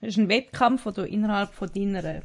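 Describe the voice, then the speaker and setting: A woman's somewhat breathy voice, fairly high in pitch, comes over a quiet background. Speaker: podcast co-host. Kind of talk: casual chat.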